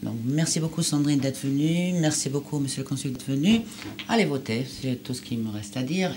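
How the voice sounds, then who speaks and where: Over noticeable background noise, a woman with a non-native accent talks in a very deep, low voice with lively intonation. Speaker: TV presenter. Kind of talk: TV interview. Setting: TV studio.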